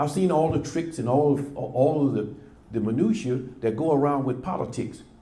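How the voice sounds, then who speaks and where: Speaking at a moderate pace, a man with a fairly high pitch and a dark, mellow tone sounds somewhat breathy amid audible room echo. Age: 70s. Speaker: former local politician. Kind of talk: prepared remarks at a press club. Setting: press club event with audience. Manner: emphatic, impassioned.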